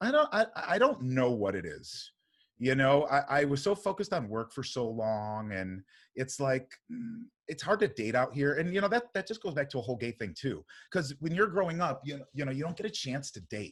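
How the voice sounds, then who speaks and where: In an American accent, a man speaks loudly at a fairly high pitch and a moderate pace. His pitch swings very widely, and the recording is very clean with a silent background. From US Midwest, Cleveland area. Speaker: podcast guest, performer. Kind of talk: casual chat.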